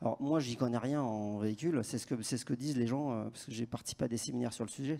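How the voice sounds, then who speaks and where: Very fast and dark, mellow in tone, this man's medium-pitched voice shows ordinary pitch variation. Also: very clean recording, silent background. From Paris, France. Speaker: conference speaker, telecom network strategist. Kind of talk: conference Q&A. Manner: casual, hesitant with restarts.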